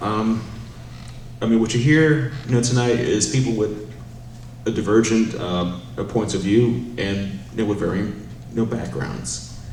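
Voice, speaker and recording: Fairly slow, lively speech from a man with an American accent and a fairly low pitch, broken by long, frequent pauses, with audible room echo and noticeable background noise. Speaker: city council candidate. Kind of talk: campaign closing statement.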